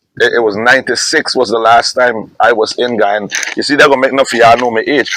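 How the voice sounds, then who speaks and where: A man speaks with a Jamaican accent. His pace is very fast. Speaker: soca/reggae/dancehall artist. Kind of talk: casual interview. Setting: outdoors at a resort.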